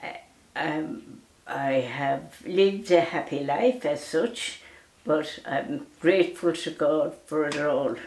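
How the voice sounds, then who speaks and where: Very slow and lively in intonation, the speech comes in a western Irish accent, with audible room echo. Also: woman, very deep, low pitch for a woman. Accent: rural west of Ireland. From Ireland, County Mayo; Ireland. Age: 90s. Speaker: elderly storyteller. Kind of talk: casual chat; interview answer. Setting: at home. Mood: grateful, gentle, reflective. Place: home room.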